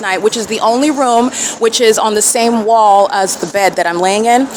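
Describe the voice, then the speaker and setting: A woman speaks over noticeable background noise. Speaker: self-documenting vlogger. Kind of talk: self-recorded documentation monologue. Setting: hotel room and outside a hotel. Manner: loud; agitated.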